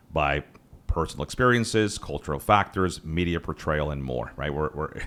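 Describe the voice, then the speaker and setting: A man talks very fast in a very deep, low pitch with vocal fry. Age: 40s. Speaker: podcast host. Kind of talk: podcast interview.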